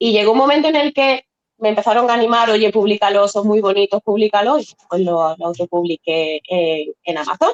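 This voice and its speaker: A woman with a plain, everyday voice speaks fairly quickly at a medium pitch, the sound dry and close with no echo. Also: lively intonation. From Spain, Seville. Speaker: novelist. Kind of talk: interview.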